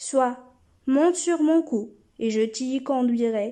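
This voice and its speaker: A woman's put-on character voice, high in pitch, at a fairly slow pace. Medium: read story. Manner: solemn, obliging.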